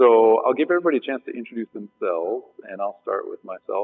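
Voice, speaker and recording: A man is speaking. He goes at a fairly quick pace. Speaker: panel moderator. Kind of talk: panel introduction to a live audience. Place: stage.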